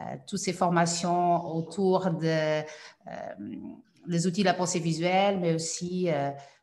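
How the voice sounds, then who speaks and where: A woman with a Portuguese accent speaks at a fairly slow pace in a fairly low pitch. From Portugal. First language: Portuguese (speaking French). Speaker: cognitive science specialist. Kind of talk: webinar presentation.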